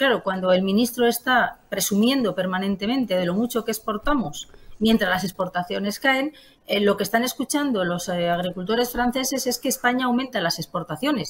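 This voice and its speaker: At a fairly quick pace, a woman speaks in a fairly high, somewhat breathy voice with lively intonation. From Spain, Palencia. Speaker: member of parliament. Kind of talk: political interview.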